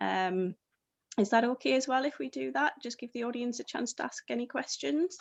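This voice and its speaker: A woman speaks with a northeast English accent. Her pitch is high. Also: lively intonation, moderate pace. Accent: northeast English, slightly Scottish-sounding. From northeast England. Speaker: panel host. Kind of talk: casual pre-event chat.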